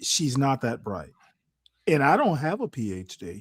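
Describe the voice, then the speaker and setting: Recorded very cleanly against a silent background, a man at medium pitch speaks at a fairly slow pace in an unremarkable speaking voice. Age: 60s. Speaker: navy veteran. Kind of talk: casual chat.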